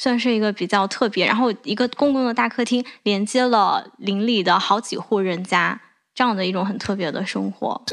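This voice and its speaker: A woman's plain, everyday voice, fairly high-pitched, at a fairly quick pace with ordinary pitch variation. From southern China. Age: 20s. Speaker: podcast host. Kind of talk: casual chat.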